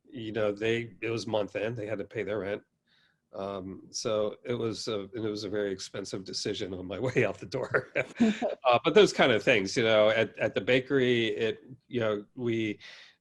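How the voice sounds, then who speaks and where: The background is quiet. A man speaks at a moderate pace and a medium pitch. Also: fairly even intonation. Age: 60s. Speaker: baker and pizzeria owner. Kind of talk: podcast interview. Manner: halting, many fillers.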